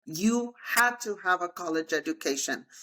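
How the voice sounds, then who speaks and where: With a Spanish accent, a woman talks in a lively, up-and-down intonation. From Texas (El Paso). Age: 50s. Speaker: real estate agent and motivational speaker. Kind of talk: interview.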